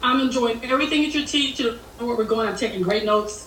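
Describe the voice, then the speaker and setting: The woman's pitch is fairly high, with ordinary variation. Noticeable background noise and audible room echo come through. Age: 60s. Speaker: Marine Corps veteran, aspiring business owner. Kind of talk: group coaching call, question to coach. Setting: video call, wearing headphones.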